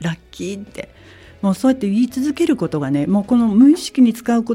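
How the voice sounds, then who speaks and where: A woman's dark, mellow, somewhat breathy voice with very wide pitch swings at a fairly quick pace. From Kansai, Japan. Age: 50s. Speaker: salon owner. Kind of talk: interview.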